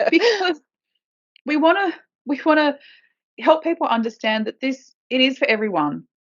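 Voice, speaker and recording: Pausing long and often, a woman with a high voice speaks at a moderate pace while her pitch swings very widely. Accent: strong Australian. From Australia. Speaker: podcast co-host, permaculture gardener. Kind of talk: casual chat. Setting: home office.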